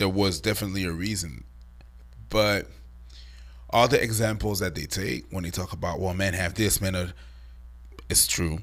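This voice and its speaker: At a moderate pace, a man with a very deep, low pitch and vocal fry speaks with lively intonation and long, frequent pauses. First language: not English. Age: 40s. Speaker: online commentator. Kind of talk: casual chat. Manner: halting.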